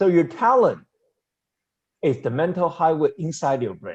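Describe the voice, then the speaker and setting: This man's tone is dark and mellow. He talks at a moderate pace. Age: 70s. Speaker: seminar speaker and semiconductor consultant. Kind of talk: seminar presentation.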